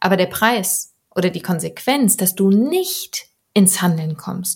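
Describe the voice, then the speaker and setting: A woman speaks very slowly at a medium pitch. Her voice is somewhat breathy. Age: 30s. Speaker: podcast host and coach. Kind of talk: solo podcast monologue.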